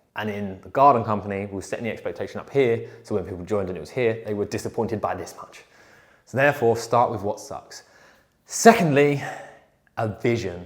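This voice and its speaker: Talking at a fairly quick pace, a man of medium pitch shows ordinary pitch variation and big swings in loudness. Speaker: business workshop presenter. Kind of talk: workshop presentation. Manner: fast.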